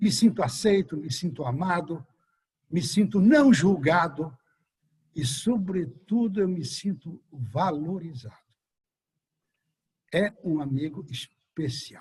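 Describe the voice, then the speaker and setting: A high-pitched man at a very slow pace, with long, frequent pauses. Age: 70s. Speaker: friend giving a tribute. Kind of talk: speech.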